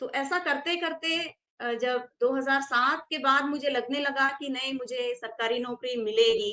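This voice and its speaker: With a Tamil accent, a woman projects a raised, high-pitched voice that is bright and sharp, her intonation fairly even. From South India (Karnataka). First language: Tamil (speaking Hindi). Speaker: Hindi scholar and teacher. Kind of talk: interview, personal account. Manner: hesitant, with fillers.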